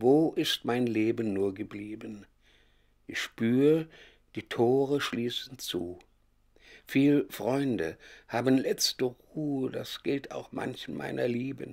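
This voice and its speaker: Very slow male speech broken by long pauses that come often. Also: medium pitch for a man, ordinary pitch variation. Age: 80s+. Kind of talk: poetry reading.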